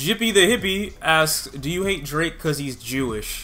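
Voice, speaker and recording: A man with an American accent speaks at a fairly quick pace, his intonation lively. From Detroit, Michigan. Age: 20s. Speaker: youtuber, music reviewer. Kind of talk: Q&A video monologue. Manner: casual, conversational. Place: home room.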